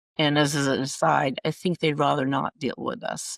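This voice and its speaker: On a very clean recording with a silent background, a woman speaks at a moderate pace, the sound dry and close with no echo. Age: 70s. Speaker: patient advocate for older adults with type 1 diabetes. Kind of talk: podcast interview. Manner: halting.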